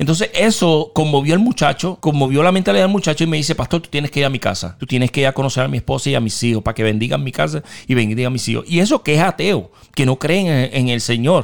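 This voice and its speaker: Fairly high-pitched male voice with a Puerto Rican accent, very fast and lively in intonation. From western Puerto Rico, Mayagüez. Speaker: pastor. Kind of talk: testimony.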